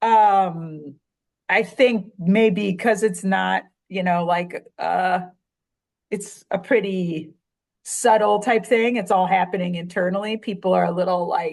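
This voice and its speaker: A woman speaks very slowly in a strong Chicago accent, her pitch medium. The background is quiet. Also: fairly even intonation. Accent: thick Chicago. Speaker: writer and surfer. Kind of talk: casual chat.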